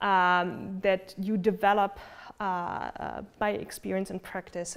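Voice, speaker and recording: A woman speaks with a German accent. The recording is very clean with a silent background. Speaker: philosophy lecturer. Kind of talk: lecture. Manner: hesitant with many fillers.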